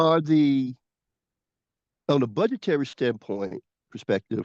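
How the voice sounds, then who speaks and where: With lively intonation, a man speaks at a fairly high pitch in a dry, close sound with no echo. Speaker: community member. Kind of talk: community meeting question. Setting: video call. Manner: fast.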